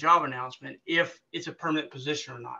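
This man has a high-pitched voice. His tone is bright and sharp. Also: quiet background. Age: 50s. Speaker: government recruiter, military veteran; webinar presenter. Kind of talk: webinar presentation. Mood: helpful, conversational. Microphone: webcam.

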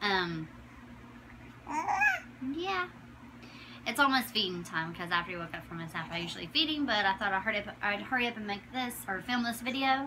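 Lively intonation and a fairly quick pace are broken by long, frequent pauses, with noticeable background noise throughout. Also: woman. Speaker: new mother. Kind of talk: casual talk to camera. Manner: many filler words. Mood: warm, affectionate. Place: home room. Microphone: phone near.

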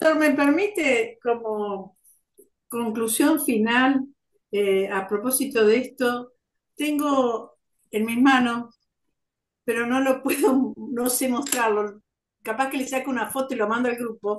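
In a room with audible echo, a woman speaks at a high pitch and a very slow pace, with ordinary pitch variation and long, frequent pauses. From Argentina, Buenos Aires province (Tres Arroyos area); Buenos Aires province, Argentina. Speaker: student in a community class. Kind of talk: class discussion. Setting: video call. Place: home room. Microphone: video call.

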